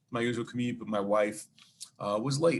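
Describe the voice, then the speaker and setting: A man speaks with a Brooklyn accent in a medium pitch with ordinary pitch variation. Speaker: charity event organizer and 9/11 survivor. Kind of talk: interview storytelling.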